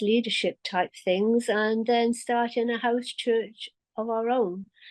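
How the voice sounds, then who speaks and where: A woman speaks in a British accent. The sound is dry and close, with no echo. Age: 70s. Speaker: bereaved widow sharing her story. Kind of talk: personal testimony. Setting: video call.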